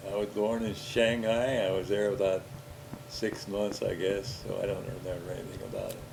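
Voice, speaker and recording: Intonation stays fairly even, with audible room echo and noticeable background noise in the recording. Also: man, fairly low pitch for a man, moderate pace. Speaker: older relative recounting his life. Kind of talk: casual family interview over home movies.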